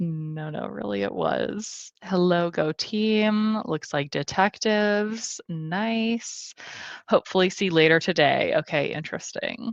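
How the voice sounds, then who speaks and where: A woman with a Midwestern American accent speaks very slowly at a medium pitch with ordinary pitch variation. The sound is dry and close with no echo, over a quiet background. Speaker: booktuber hosting reading livestream. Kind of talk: livestream chat reading comments. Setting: home livestream.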